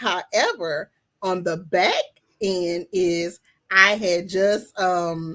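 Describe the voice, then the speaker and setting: A woman's medium-pitched voice in a Southern US accent, bright and sharp in tone, with monotone, flat intonation at a very slow pace. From Louisiana, US South (Baton Rouge). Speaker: plus-size model and event host. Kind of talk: casual interview.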